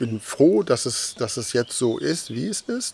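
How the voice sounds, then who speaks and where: A man with a medium pitch speaks over noticeable background noise. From Westphalia, Germany. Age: 50s. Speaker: 3D object photographer. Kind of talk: interview. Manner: hesitant, many fillers and repeats.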